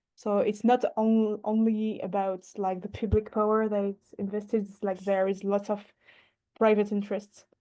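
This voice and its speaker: A woman with a medium pitch and a dark, mellow tone speaks in a monotone, flat intonation. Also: moderate pace, quiet background. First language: not English. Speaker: workshop participant working in urban planning. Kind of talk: online workshop discussion. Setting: video call. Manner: halting, many hesitations.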